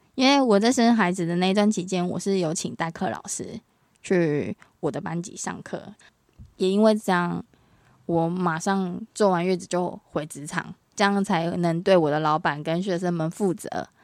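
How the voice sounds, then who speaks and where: A woman's fairly low voice at a moderate pace with ordinary pitch variation, in a very clean recording with a silent background. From Taiwan. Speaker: English teacher and mother. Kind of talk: casual interview.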